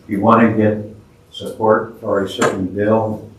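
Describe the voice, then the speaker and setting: Audible room echo surrounds a man whose fairly low voice stays monotone and flat. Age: 70s. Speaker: teacher. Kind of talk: lecture.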